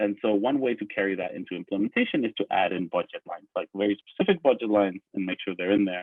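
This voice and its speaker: This man's delivery is very fast. Pauses are almost absent. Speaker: conference presenter. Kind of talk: conference presentation.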